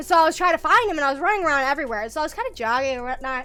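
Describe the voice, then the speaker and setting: With music in the background, a woman uses a raised, projected voice in an animated tone with very wide pitch swings. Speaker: vtuber streamer. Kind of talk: casual livestream chat.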